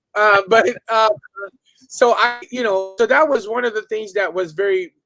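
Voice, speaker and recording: A man talks in a high pitch while music plays behind him. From Filipino immigrant raised in Southern California. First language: Tagalog. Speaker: martial arts instructor. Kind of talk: casual interview chat. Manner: hesitant, many fillers.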